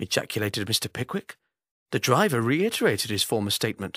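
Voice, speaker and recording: A man's bright, sharp tone swings very widely in pitch, in a dry, close sound with no echo. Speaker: actor. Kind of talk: classic novel reading.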